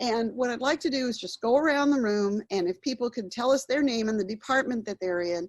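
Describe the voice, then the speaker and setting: Using a normal speaking voice, a woman talks at a fairly quick pace with hardly any pauses, fairly high pitch and ordinary pitch variation. The sound is dry and close with no echo. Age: 60s. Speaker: workshop facilitator. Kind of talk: workshop training.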